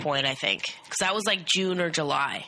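Over noticeable background noise, a woman speaks in a fairly low pitch. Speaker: co-host friend. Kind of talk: casual chat.

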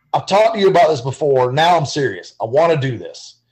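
A man's high-pitched voice with lively intonation. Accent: Southern US. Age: 40s. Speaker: guitar builder. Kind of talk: casual chat.

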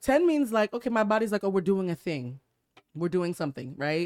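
On a very clean recording with a silent background, a woman speaks in an animated tone with lively intonation. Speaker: podcast host. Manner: talks like a newscaster; animated, laughs often.

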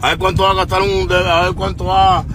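A very fast speaker in a Cuban accent is heard with audible room echo and noticeable background noise. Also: man. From Cuba, Havana. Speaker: musician. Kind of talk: livestream rant. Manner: animated.

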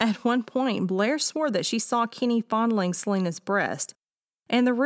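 A natural voice reads aloud, its pitch varying in an ordinary way. Nothing else is heard in the quiet background.

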